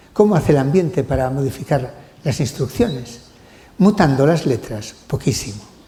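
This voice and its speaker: At a moderate pace, a man talks at a fairly high pitch. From Spain. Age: 60s. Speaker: genetics professor. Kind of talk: lecture. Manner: halting; animated.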